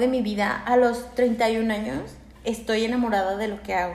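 With a Mexican accent, a woman speaks at a moderate pace and ordinary pitch variation, amid noticeable background noise and audible room echo. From Aguascalientes, Mexico. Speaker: lawyer, host's roommate. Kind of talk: casual chat.

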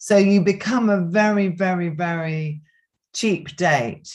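A woman's somewhat breathy, fairly low voice with ordinary pitch variation. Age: 60s. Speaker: yoga teacher. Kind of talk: casual interview.

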